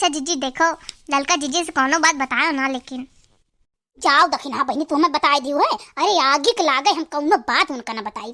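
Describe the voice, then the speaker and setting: A woman's cartoonish character voice, high in pitch, at a moderate pace with ordinary pitch variation. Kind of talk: rustic Awadhi comedy. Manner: wheedling, gossipy.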